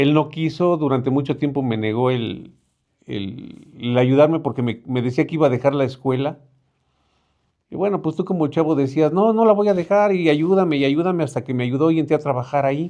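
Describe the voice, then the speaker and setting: A man with a fairly high pitch and a dark, mellow tone speaks at a fairly quick pace. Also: ordinary pitch variation. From Mexico City, Álvaro Obregón. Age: 50s. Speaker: neighborhood representative. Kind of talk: interview. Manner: halting.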